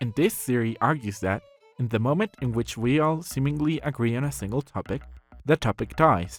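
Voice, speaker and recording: Music plays in the background as a man talks at a fairly quick pace with ordinary pitch variation, in a dry, close sound with no echo. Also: medium pitch for a man. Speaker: artist. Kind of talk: video essay narration. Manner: atypical speech, unusual phrasing.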